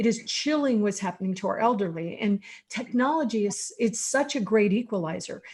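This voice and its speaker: Somewhat breathy, a woman speaks at a fairly quick pace in a medium pitch, her tone dark and mellow with ordinary pitch variation. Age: 60s. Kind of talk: online panel discussion.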